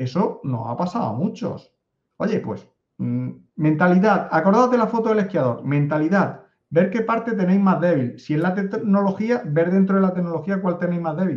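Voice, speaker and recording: Spoken at a moderate pace with a Spanish accent, the delivery has lively intonation. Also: man, high pitch for a man. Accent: Spanish (Spain). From Spain. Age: 50s. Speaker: data analytics consultant. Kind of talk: interview conversation.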